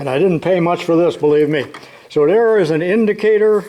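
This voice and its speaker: A man at a moderate pace, relaxed in tone, with ordinary pitch variation. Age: 80s+. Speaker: retired shop teacher, tool video maker. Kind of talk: casual tutorial. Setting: home workshop. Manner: relaxed, folksy.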